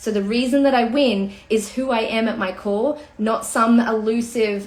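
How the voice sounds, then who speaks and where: Music plays in the background as a woman speaks in an animated tone at a fairly high pitch. Audible room echo fills the recording. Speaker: personal branding coach. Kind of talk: livestream talk. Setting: home livestream.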